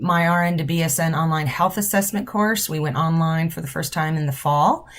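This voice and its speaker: A woman speaks with a fairly low, somewhat breathy voice. The recording is very clean, with a silent background. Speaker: nursing professor. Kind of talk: informal instructional video. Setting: office.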